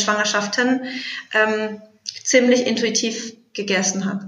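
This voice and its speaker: A woman's voice, with ordinary pitch variation, comes through with audible room echo. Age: 30s. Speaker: somatic intelligence coach. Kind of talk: interview.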